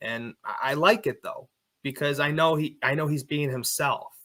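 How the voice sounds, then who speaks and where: The man's voice is loud and fairly high, with a bright, sharp tone. He speaks at a fairly slow pace. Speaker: plumber and online faith content creator. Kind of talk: interview conversation.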